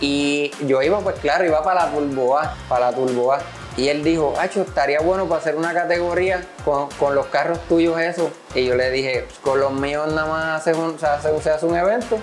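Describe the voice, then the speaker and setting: A man at a fairly quick pace with ordinary pitch variation, faint music in the background. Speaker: interviewee. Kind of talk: interview answer. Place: workshop. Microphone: lapel.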